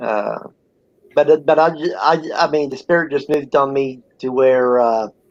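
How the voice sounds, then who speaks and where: A man with an American accent talks at a moderate pace in a plain, everyday voice. His pitch is fairly high, with ordinary pitch variation. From Ohio, US Midwest. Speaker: online content creator. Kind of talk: casual chat.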